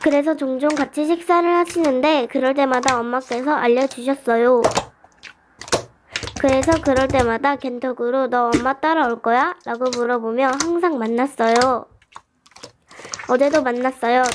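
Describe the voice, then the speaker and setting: At a moderate pace broken by long, frequent pauses, a woman speaks in a high pitch with fairly even intonation and very even loudness. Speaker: slime radio host. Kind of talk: reading a listener's story, radio-show style.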